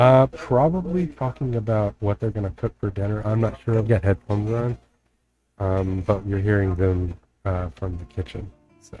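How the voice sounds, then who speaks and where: A man with a slight Texas accent speaks at a moderate pace and fairly low pitch, somewhat breathy, with a dark, mellow tone and ordinary pitch variation. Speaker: game modder streamer. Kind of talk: casual live stream chat. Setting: home live stream, family in kitchen. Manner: hesitant, many fillers.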